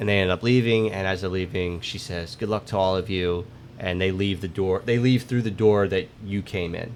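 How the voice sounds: Natural reading voice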